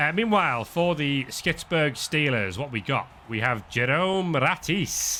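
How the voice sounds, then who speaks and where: Speaking with a northern English accent, a man uses a fairly high pitch and a bright, sharp tone at a fairly slow pace. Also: lively intonation, hardly any pauses. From northern England. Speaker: sports commentator. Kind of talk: live commentary.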